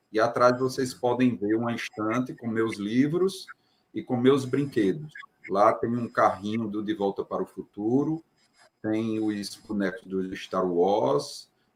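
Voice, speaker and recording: A man with a plain, everyday voice at medium pitch, lively intonation and a fairly slow pace. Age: 40s. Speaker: doctor, book author. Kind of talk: self-description at live stream.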